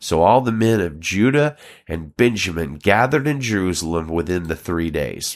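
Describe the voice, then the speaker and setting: A man's very deep, low voice in a Southern US accent, with very wide pitch swings, on a very clean recording with a silent background. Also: moderate pace. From Alabama, US South. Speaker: pastor and podcast host. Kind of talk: Bible reading and teaching commentary.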